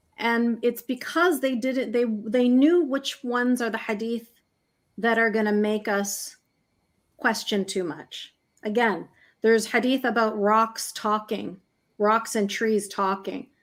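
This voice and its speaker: With a Canadian accent, a woman speaks at a fairly slow pace in a fairly high voice with ordinary pitch variation. The recording is very clean, with a silent background. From Canada, Egyptian family. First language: Arabic. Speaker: human rights campaigner, author. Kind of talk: interview.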